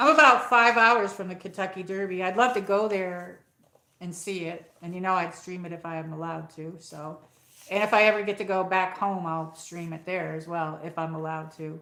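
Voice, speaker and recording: With an American accent, a woman talks at a fairly quick pace and medium pitch, with ordinary pitch variation. Her loudness swings widely. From upstate New York (Saratoga County). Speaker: livestream host. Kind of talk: casual live chat. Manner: rambling, hesitant with fillers.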